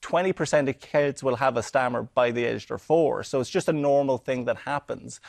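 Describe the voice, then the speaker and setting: Against a quiet background, a man with an Irish accent and a fairly high pitch talks at a fairly quick pace with hardly any pauses and ordinary pitch variation, the sound dry and close with no echo. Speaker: stand-up comedian. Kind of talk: TV interview.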